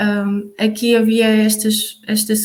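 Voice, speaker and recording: A woman talks in a flat, monotone delivery. Her pitch sits fairly high. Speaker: youth project facilitator. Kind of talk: online collaborative meeting presentation. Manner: halting, many fillers.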